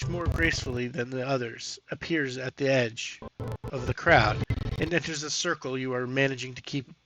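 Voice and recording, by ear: In a natural voice, a text is read aloud.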